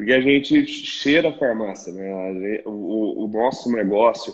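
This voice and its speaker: This is a man. He has a normal speaking voice. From Minas Gerais, Brazil. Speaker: podcast host in pharmacy retail sector. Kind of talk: interview conversation.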